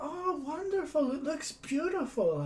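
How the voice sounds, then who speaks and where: In a put-on character voice, the speaker uses a high pitch at a moderate pace over clear background noise. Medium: actual play.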